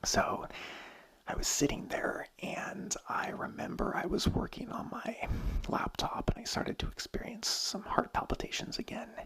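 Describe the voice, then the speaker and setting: A man is whispering at a fairly slow pace. Noticeable background noise runs under his voice. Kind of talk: ASMR ramble, personal story. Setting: home studio mic. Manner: whispered.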